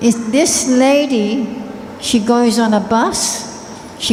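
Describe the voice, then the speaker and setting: A woman with an Australian accent speaks at a fairly high pitch with fairly even intonation. Audible room echo and noticeable background noise fill the recording. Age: 70s. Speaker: spiritual teacher. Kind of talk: talk to an audience.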